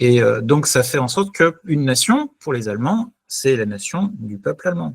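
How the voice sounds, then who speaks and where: A man speaks at a moderate pace and medium pitch in a somewhat breathy voice with very wide pitch swings, in a dry, close sound with no echo. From France. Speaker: data analytics executive. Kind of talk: interview conversation. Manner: hesitant, many filler euhs.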